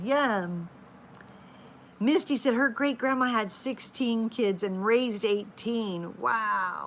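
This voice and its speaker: The pace is very slow, in an American accent. The intonation is lively. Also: woman. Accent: southern drawl, comes back at times. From Oklahoma. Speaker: live-stream vlogger, mother of a large family. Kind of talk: casual chat. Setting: live stream at home. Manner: chatty.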